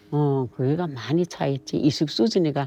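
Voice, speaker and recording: A woman's very deep, low voice at a moderate pace, with music in the background. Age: 80s+. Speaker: North Korean defector interviewee. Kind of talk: interview testimony. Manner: halting.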